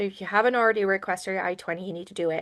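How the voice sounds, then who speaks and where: The background is quiet. A woman speaks at a medium pitch. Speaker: international student advisor. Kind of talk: informational webinar presentation. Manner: fast.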